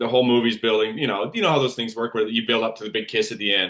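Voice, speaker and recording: A man speaks at a medium pitch. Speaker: actor. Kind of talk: interview. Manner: mumbling; uneven pauses when ranting.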